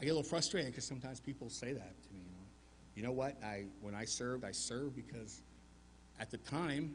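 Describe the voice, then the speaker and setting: A man talks at a very fast pace with vocal fry and ordinary pitch variation, and audible room echo surrounds his voice. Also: medium pitch for a man, big swings in loudness. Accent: American. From US South, Arkansas mountains. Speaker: war veteran. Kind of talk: Remembrance Day speech.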